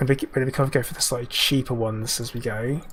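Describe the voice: A man talks at a fast pace with a raspy, fairly bright tone and a medium pitch. His intonation stays fairly even.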